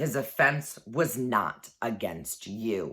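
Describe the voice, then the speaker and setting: A woman growls in a put-on character voice with a very deep, low pitch. She speaks very slowly on a very clean recording with a silent background. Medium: read story. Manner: grave.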